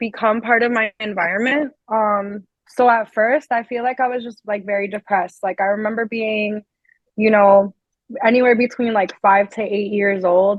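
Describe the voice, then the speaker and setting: Speaking with a Spanish accent, a woman keeps a moderate pace, a fairly high pitch and fairly even intonation. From Colombia, raised in New Jersey from kindergarten. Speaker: singer and musician. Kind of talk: interview. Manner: casual, filler-heavy.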